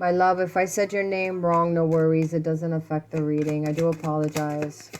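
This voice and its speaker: Against noticeable background noise, a woman speaks quietly at a fairly low pitch with monotone, flat intonation. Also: moderate pace. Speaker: tarot reader. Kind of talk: tarot reading for viewers. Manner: quiet, talking low.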